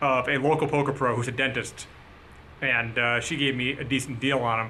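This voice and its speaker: A man speaks at a medium pitch in a monotone, flat way. Audible room echo surrounds his voice. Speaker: poker vlogger. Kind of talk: vlog narration. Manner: casual, many filler uh's.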